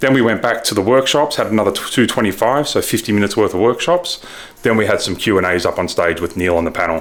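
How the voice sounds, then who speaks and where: Talking at a very fast pace with an Australian accent, a man uses lively intonation at a medium pitch. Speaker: ecommerce reseller vlogger. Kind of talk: casual vlog recap. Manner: mumbling; animated.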